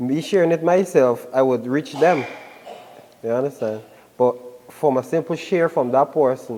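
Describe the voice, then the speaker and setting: A man's fairly high voice with ordinary pitch variation, moderate pace, long and frequent pauses, and noticeable background noise. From Guyana. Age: 20s. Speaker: musician and barber. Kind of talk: casual interview.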